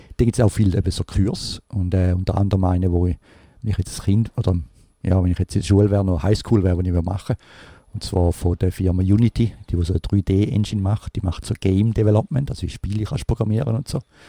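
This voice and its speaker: The speech comes at a very fast pace in a dark, mellow, somewhat breathy tone. Pitch varies in an ordinary way, and the sound is dry and close with no echo. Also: man, fairly low pitch for a man. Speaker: podcast host. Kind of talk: casual chat. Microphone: new recording device.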